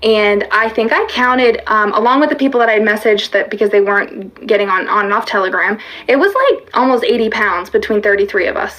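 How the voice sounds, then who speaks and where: Over noticeable background noise, a woman talks in an animated tone with a fairly high pitch and a fairly quick pace. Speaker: fitness coach. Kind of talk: livestream talk. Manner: fast; halting.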